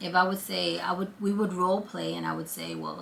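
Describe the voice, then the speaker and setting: Speaking at a moderate pace in a Brooklyn accent, a woman is heard with audible room echo. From Brooklyn, New York. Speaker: vlogger. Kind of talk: casual chat. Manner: conversational.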